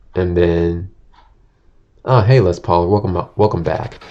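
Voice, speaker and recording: With a very deep, low pitch, a man speaks at a very slow pace. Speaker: vtuber streamer. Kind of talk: casual livestream chat. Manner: stuttering; casual, meandering.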